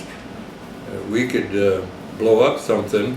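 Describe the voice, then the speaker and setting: A man's voice sits at a fairly low pitch. Audible room echo and noticeable background noise surround it. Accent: American. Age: 90s. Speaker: war veteran. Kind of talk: oral history interview. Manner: halting.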